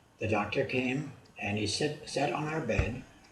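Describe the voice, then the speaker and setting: The recording has audible room echo. Noticeable background noise can be heard as well. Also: man. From Germany. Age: 80s+. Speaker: video blogger. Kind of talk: storytelling. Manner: halting.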